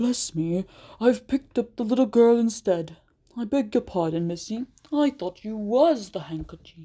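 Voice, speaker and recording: Using a put-on character voice, a woman speaks at a fairly high pitch and a moderate pace in a very clean recording with a silent background. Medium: read story. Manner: folksy, polite.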